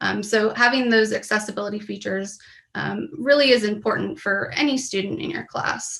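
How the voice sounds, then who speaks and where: Her voice is an ordinary speaking voice, fairly high for a woman, with ordinary pitch variation. She speaks at a moderate pace. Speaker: professor. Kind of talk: conference presentation. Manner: many fillers (um).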